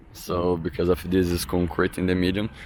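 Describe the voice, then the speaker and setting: A man with a very deep, low voice and a strong Brazilian accent. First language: Portuguese. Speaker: drift racing driver. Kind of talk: vlog track walk explanation. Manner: halting.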